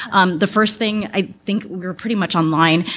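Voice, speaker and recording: This woman has an ordinary speaking voice, fairly low in pitch, with fairly even intonation at a moderate pace. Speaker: talent acquisition advisor, audience member. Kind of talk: audience Q&A comment. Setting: speaking at a microphone in conference room.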